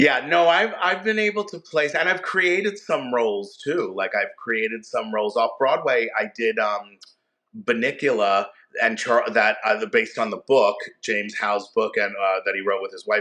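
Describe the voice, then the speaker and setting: A man's American-accented voice, fairly high in pitch, at a moderate pace with very wide pitch swings. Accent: Long Island accent, trained down. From Long Island, New York. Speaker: Broadway actor. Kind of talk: interview answer. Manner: casual, halting.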